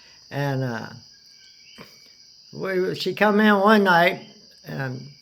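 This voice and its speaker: Audible room echo surrounds a man speaking at a very slow pace with lively intonation. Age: 60s. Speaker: storyteller recounting hospital stay. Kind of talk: casual personal storytelling. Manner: halting, many fillers and restarts.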